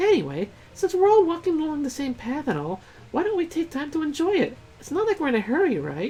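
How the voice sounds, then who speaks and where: A squeaky, high-pitched put-on character voice rattles along at a very fast pace over clear background noise. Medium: game stream. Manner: breezy, casual.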